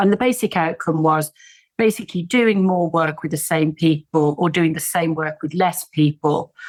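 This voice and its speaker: A woman speaks with an English accent at a fairly low pitch. Her pace is moderate, and her pitch varies in an ordinary way. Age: 60s. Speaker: tech entrepreneur and business coach. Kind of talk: podcast interview.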